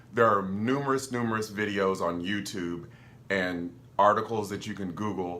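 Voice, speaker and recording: A bright, sharp voice with ordinary pitch variation carries audible room echo. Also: man. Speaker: filmmaker and video creator. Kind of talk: tutorial. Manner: animated, enthusiastic.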